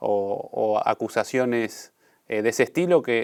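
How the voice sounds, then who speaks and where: This man is heard on a very clean recording against a silent background. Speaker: interviewer, podcast host. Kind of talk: interview. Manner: halting, many fillers.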